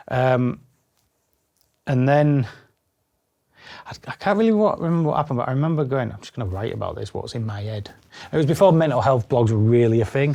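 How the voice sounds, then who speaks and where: With a Yorkshire accent, a man speaks at a medium pitch in a dark, mellow tone, fairly quickly and with lively intonation. His loudness swings widely, and long, frequent pauses break up his speech. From Yorkshire, England (Bridlington). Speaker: spinal cord injury survivor and adventurer. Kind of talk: casual interview chat.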